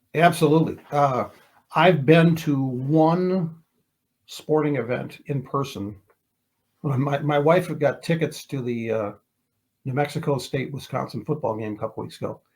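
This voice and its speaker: A man's somewhat breathy, fairly high-pitched voice at a fairly slow pace, with ordinary pitch variation and long, frequent pauses. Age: 60s. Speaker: retired TV sports reporter. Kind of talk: casual interview. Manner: halting, many repeated words.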